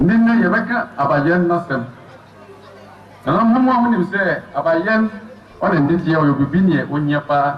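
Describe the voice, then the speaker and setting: Amid noticeable background noise, a man with a high pitch speaks at a fairly slow pace, using lively intonation and very even loudness, with long, frequent pauses. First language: Brong (Abron) (speaking French). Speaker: community speaker at official ceremony. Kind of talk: formal speech. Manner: formal.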